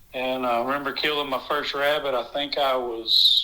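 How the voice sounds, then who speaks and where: This man speaks with a Southern US accent and a fairly high pitch. His tone is bright and sharp. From US South, South Carolina (Blythewood). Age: 40s. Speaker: rabbit hunter, dog owner. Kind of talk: casual interview. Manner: hesitant, many fillers.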